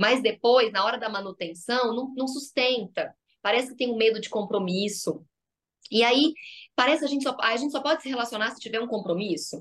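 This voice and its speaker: A woman's fairly high voice at a fairly quick pace, with ordinary pitch variation and big swings in loudness. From Goiás, Brazil. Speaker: psychologist. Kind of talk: podcast interview.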